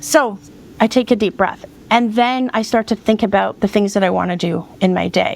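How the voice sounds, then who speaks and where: A woman talks at a medium pitch with ordinary pitch variation. Her voice has vocal fry. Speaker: decluttering and self-care coach. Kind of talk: podcast interview. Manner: fast; animated.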